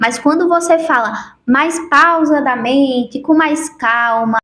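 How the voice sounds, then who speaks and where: The voice has lively intonation, heard over noticeable background noise. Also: woman. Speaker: self-help youtuber. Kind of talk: motivational talk to camera.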